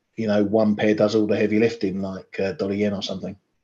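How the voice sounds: The voice is raspy, with a slightly mellow tone. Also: man.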